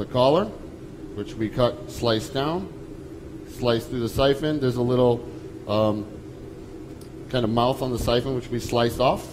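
A man with an American accent speaks at a moderate pace, leaving long, frequent pauses. His pitch varies in an ordinary way, and there is noticeable background noise. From Lowell, Massachusetts; Massachusetts. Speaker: chef; presenter. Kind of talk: cooking demonstration. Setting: stage with audience. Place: stage.

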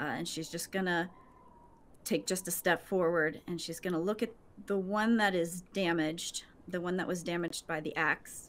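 A woman's normal speaking voice, fairly low in pitch with fairly even intonation, in a very clean recording with a silent background. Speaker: motion capture performer and tabletop game player. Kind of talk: tabletop role-play.

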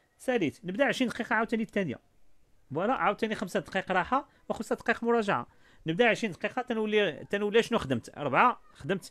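High-pitched male voice with lively intonation at a very fast pace. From Morocco. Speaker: study skills coach and author; study skills coach. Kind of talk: online workshop talk. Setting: video call. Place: office. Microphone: studio mic.

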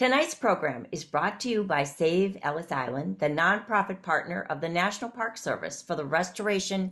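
At a moderate pace, a woman talks in an ordinary speaking voice against a quiet background. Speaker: interviewer, event host. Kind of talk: interview host introduction. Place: home room. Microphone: video call.

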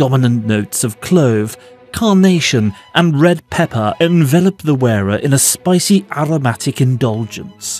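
Over music in the background, a man with a British accent talks at a fairly slow pace, his fairly high pitch carrying lively intonation at very even loudness. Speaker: fragrance and beauty product YouTuber. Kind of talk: documentary-style list narration.

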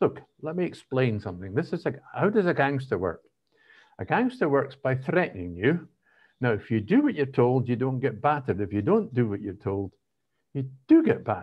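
A man speaks fairly quickly in a Scottish accent. His voice is somewhat breathy, with very wide pitch swings. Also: medium pitch for a man. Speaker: political podcast co-host. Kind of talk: casual chat.

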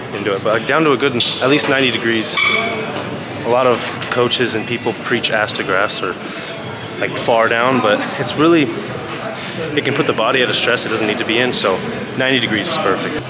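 Loud background noise sits behind a man talking at a very fast pace. His pitch varies in an ordinary way. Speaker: fitness vlogger. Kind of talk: casual vlog chat with tutorial tips. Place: gym. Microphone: phone near.

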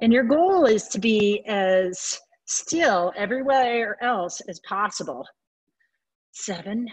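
Somewhat breathy and fairly high in pitch, a woman speaks at a very slow pace with lively intonation and long, frequent pauses over a quiet background. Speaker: fitness instructor. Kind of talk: guided workout class. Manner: encouraging.

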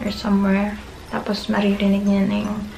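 A woman's voice over noticeable background noise. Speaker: vlogger. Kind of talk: casual vlog chat, product show. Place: home room. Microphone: camera far.

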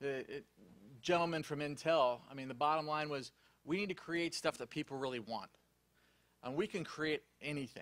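Loud and fairly high-pitched, a man talks at a moderate pace with a bright, sharp tone and ordinary pitch variation on a very clean recording with a silent background. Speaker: remote patient monitoring industry specialist. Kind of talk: conference panel presentation. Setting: conference room with live audience.

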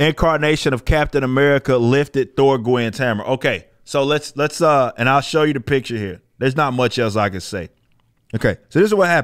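There is little noise behind this man. He talks fairly quickly, and his pitch varies in an ordinary way. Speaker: comic commentary streamer. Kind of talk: commentary. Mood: critical, mocking, exasperated. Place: studio. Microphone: studio mic.

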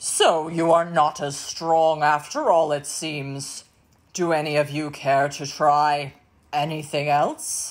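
The pace is fairly slow. It's a put-on character voice with a middle pitch. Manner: mocking.

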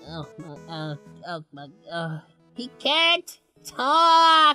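In a put-on character voice, a female-sounding speaker at a medium pitch talks at a very slow pace over faint music in the background. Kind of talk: let's play game commentary in character. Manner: upbeat, emotional.

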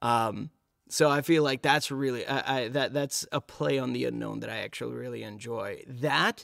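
The speaker has an American accent and talks at a moderate pace. The recording is very clean, with a silent background. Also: man. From New York City. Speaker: voice actor. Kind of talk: casual chat.

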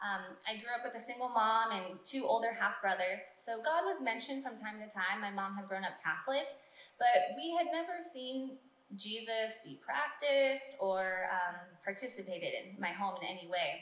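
An American-accented woman's fairly high voice, lively in intonation and moderate in pace, with audible room echo. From California. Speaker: church minister. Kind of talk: testimony. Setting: church. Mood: earnest, grateful. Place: stage.

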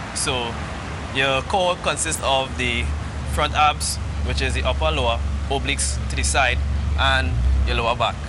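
The speech moves at a moderate pace with very even loudness and long, frequent pauses. Music plays in the background. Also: man. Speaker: guest. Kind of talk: interview answer. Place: street. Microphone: lapel.

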